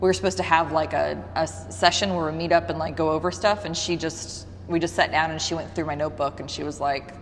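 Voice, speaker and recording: Over noticeable background noise, a woman with a very deep, low pitch talks at a very fast pace with hardly any pauses and very wide pitch swings. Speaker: yoga instructor and studio owner. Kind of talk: interview. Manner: casual.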